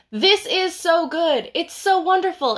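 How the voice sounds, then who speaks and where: A woman's raised, projected voice, bright and sharp in tone, against a quiet background. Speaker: bookseller. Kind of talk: casual book recommendations livestream. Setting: Instagram live stream.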